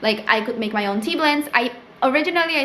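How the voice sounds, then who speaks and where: Lively intonation at a fairly quick pace in a Spanish accent, with audible room echo and noticeable background noise. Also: woman. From Peru. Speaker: small business owner and vlogger. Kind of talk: casual tutorial vlog. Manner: casual, filler-heavy (um, like).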